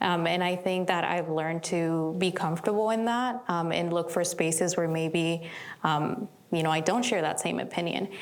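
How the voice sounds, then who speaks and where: Audible room echo surrounds the recording. A woman speaks in a fairly low pitch. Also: ordinary pitch variation, moderate pace. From immigrant, outside US. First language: not English. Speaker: community leader. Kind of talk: panel discussion.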